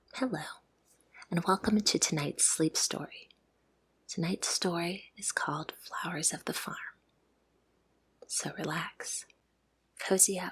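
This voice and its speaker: Whispering in a calm tone, the speaker leaves long, frequent pauses. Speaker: ASMR sleep story narrator. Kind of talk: guided relaxation intro. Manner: soft-spoken, calm.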